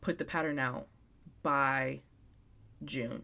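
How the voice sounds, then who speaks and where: The recording is very clean, with a silent background. A woman speaks very slowly in a monotone, flat intonation. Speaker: crochet designer and content creator. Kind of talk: casual live stream chat. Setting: live stream at home.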